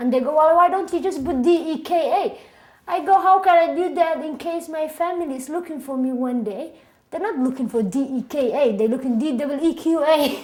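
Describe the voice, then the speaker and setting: Speaking at a fairly quick pace, a woman with a high pitch has a strong Somali accent. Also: ordinary pitch variation. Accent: thick Somali. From Somalia (Mogadishu). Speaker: immigrant interviewee, singer-songwriter. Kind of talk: oral history interview.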